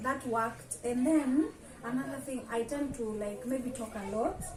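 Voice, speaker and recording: A loud woman's voice at a high pitch and moderate pace, ordinary pitch variation, audible room echo and noticeable background noise. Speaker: guest, content creator. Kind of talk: casual interview chat. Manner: talkative, expressive.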